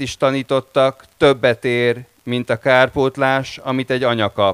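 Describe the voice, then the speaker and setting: Monotone, flat intonation runs through a man's medium-pitched speech. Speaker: anthology editor and translator. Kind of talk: panel discussion. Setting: stage with audience.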